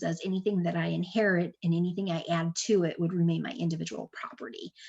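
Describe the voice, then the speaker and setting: The pace here is fairly quick. A woman speaks with a fairly low pitch. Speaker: estate planning attorney. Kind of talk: webinar presentation with Q&A. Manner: fast; many filler words (um, uh).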